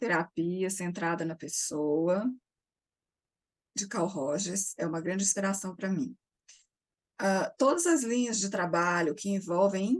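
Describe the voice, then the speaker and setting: Quiet and calm, a woman speaks at a very slow pace in a medium pitch, with long, frequent pauses. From Brazil, Minas Gerais. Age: 60s. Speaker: psychotherapist. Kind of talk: interview. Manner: calm, quiet.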